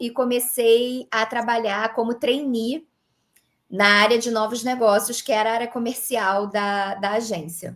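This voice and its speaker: Fairly high, fairly even female voice in a Rio de Janeiro accent at a fairly slow pace, in a very clean recording with a silent background. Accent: carioca accent, noticeable. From Rio de Janeiro, Brazil. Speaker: creator economy consultant, former dentist. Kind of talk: interview conversation.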